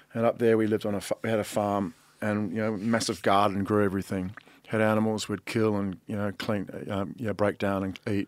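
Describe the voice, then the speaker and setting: On a very clean recording with a silent background, a man with a New Zealand accent speaks at a fairly low pitch with monotone, flat intonation. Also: fairly quick pace. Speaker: artist. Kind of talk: casual chat.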